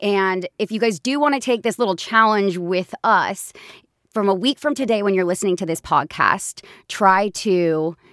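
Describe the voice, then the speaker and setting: At a moderate pace, a woman with a plain, everyday voice talks at medium pitch with ordinary pitch variation, the sound dry and close with no echo on a very clean recording with a silent background. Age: 20s. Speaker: podcast host and business founder. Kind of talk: casual chat.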